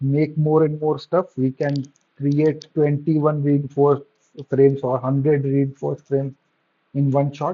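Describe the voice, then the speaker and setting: A man's fairly high, monotone, flat voice with a non-native accent, at a moderate pace with long, frequent pauses. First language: not English. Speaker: game developer. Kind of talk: gameplay tutorial. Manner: halting, fumbling for words.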